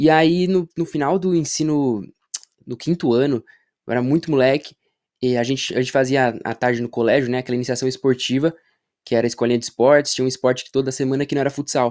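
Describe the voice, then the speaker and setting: Very fast speech from a man at medium pitch, with fairly even intonation and a dry, close sound without echo. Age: 20s. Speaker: basketball content creator. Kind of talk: casual chat.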